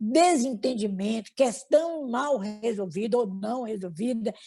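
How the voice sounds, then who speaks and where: Speaking at a very slow pace, a woman uses lively intonation and a fairly high pitch on a very clean recording with a silent background. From Brazil, Minas Gerais. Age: 70s. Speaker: spiritist leader. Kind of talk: interview.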